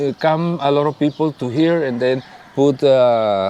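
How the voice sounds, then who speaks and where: A fairly high male voice with a Spanish accent and ordinary pitch variation, at a fairly slow pace over noticeable background noise. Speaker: leader of a search collective for missing people. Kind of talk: interview. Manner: halting.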